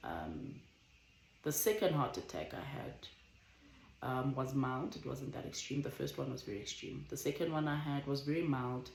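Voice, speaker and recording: The voice carries vocal fry and ordinary pitch variation, with audible room echo. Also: woman. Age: 20s. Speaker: vlogger. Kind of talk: casual chat. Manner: slow; careful, measured.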